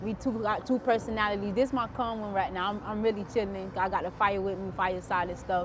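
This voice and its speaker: Noticeable background noise and audible room echo surround the recording. A woman speaks at medium pitch and a fairly quick pace. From South Florida (Broward County). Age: 20s. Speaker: entrepreneur, interviewee. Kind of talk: casual interview. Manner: animated.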